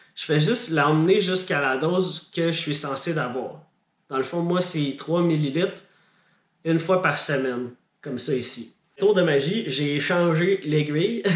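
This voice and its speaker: Moving at a fairly slow pace, this man's speech shows ordinary pitch variation. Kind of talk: casual vlog.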